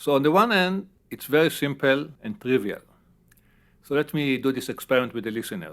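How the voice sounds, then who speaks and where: A man talks at a fairly quick pace in a fairly high voice, with a strong non-native accent. His intonation is lively. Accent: heavy non-native English. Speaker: neuroscience professor. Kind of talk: interview.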